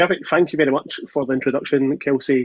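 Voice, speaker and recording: Here a man speaks with a Scottish accent at a medium pitch. The sound is dry and close, with no echo. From Scotland, Glasgow. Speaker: solutions architect. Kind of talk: webinar presentation. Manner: fast.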